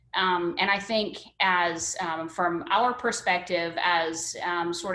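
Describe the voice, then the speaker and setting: With an American accent, a woman of medium pitch speaks in a normal speaking voice with fairly even intonation. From northern US. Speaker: education services presenter. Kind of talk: webinar presentation. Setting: video call.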